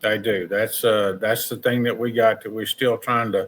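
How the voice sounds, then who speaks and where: A man's ordinary speaking voice at a medium pitch and moderate pace. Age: 60s. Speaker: barbecue competitor and sauce maker. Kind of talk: casual chat.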